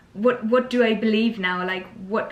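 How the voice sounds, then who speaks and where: The speaker talks at a moderate pace, with noticeable background noise behind them. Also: woman. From Germany. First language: German. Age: 20s. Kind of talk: casual Q&A chat. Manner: hesitant, many fillers.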